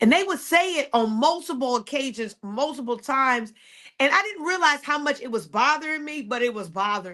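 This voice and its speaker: At a fairly quick pace, a woman with a high pitch and a bright, sharp tone uses a raised, projected voice with very wide pitch swings and big swings in loudness. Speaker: podcast host and faith coach. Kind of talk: motivational podcast monologue.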